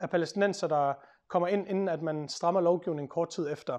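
Against a quiet background, a man is speaking. He keeps a moderate pace. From Denmark. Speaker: lawyer and author; speaker. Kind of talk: public talk. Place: meeting room. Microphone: lapel.

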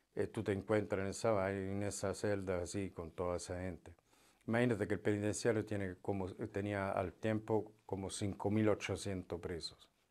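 Against a quiet background, a man speaks fairly slowly in a fairly low, monotone voice with flat intonation. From Italy. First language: Italian (speaking Spanish). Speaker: former prisoner; interview guest. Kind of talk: testimony. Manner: halting. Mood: calm, serious storytelling. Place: studio. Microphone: lapel.

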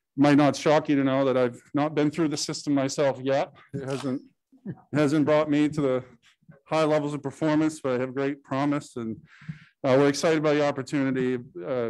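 A man talks at a moderate pace in a flat, monotone way. He leaves long, frequent pauses. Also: quiet background. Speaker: presenter. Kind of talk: public meeting presentation. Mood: light, joking. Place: hall.

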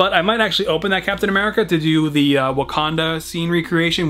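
A man speaks at a fairly quick pace. Ordinary pitch variation runs through his speech. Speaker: toy collector vlogger. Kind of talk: casual vlog chat. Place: home room.

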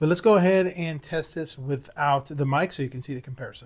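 The man's delivery is very fast. His pitch stays fairly even throughout. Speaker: product reviewer. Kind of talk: review tutorial talk. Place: home room. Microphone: lapel.

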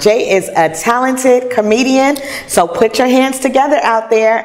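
Over light background noise, a woman talks at a fairly slow pace in an animated tone. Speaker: show host and singer. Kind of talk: casual interview. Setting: restaurant venue. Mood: cheerful, laughing.

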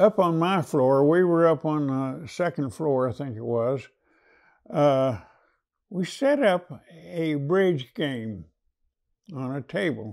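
Against a quiet background, a man with an American accent and a fairly high pitch speaks at a very slow pace with lively intonation and long, frequent pauses. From United States. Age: 90s. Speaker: WWII veteran, former prisoner of war. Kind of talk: oral history interview answer. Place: studio. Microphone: lapel.

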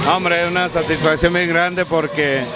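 A man at a moderate pace, with a dry sound with no echo and music in the background. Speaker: interviewee. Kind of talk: interview answer. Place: bar. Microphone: handheld.

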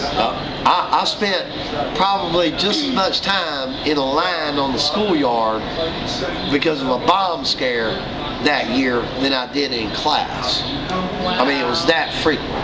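Over loud background noise, a man with an American accent speaks at a very slow pace. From US South, Wilmington, North Carolina. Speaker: interviewee recalling childhood during desegregation. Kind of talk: oral history interview.

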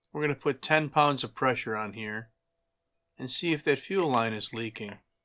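Against a quiet background, a man speaks in a bright, sharp tone. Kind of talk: tutorial. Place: workshop.

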